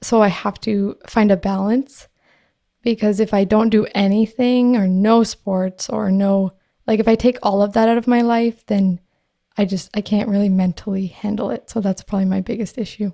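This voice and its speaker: A woman with a Canadian accent speaks at a moderate pace and medium pitch in a dark, mellow tone, monotone and flat, with a dry, close sound and no echo. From Canada. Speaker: podcaster and concussion advocate. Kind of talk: interview. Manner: casual with filler words.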